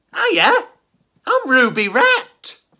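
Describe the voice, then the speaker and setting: A squeaky, put-on character voice. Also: extremely high pitch. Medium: read story.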